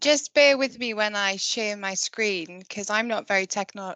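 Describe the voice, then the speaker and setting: A woman with a Welsh Valleys accent, medium pitch and a bright, sharp tone, ordinary pitch variation at a moderate pace, in a dry, close sound with no echo and a quiet background. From Wales, the valleys. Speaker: conservation project manager. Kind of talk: online talk presentation.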